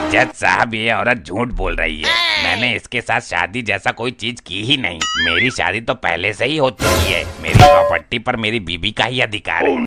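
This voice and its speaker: At a moderate pace, a man does a cartoonish character voice at medium pitch. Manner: rustic, dopey.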